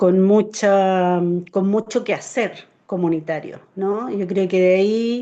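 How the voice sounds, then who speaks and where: At a very slow pace, a woman speaks at a medium pitch with a dark, mellow tone and fairly even intonation. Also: quiet background. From Chile, Santiago. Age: 60s. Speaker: community organizer. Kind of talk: interview.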